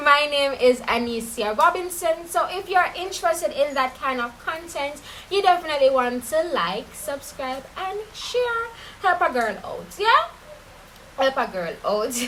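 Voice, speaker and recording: With a Caribbean accent, the speaker talks fairly slowly in an animated tone with very wide pitch swings, against noticeable background noise. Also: woman, high pitch for a woman. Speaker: true crime YouTuber. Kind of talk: casual storytelling.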